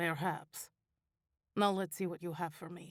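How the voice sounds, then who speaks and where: A raspy put-on character voice at a middle pitch. It moves at a moderate pace with monotone, flat intonation. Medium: read story. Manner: smug, curt.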